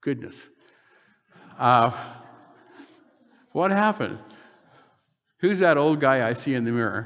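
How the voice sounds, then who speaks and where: Medium-pitched male speech at a fairly slow pace, with long, frequent pauses, very wide pitch swings and audible room echo. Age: 70s. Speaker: preacher. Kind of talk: sermon.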